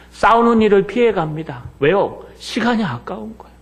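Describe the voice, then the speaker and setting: Fairly slow, lively-intoned speech from a man, with audible room echo and noticeable background noise. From Seoul, South Korea. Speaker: pastor. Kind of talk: sermon. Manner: animated.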